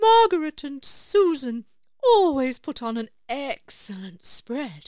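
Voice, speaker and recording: A woman puts on a character voice, high in pitch with very wide swings, and speaks at a fairly slow pace. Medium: read story. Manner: polite, slightly grand.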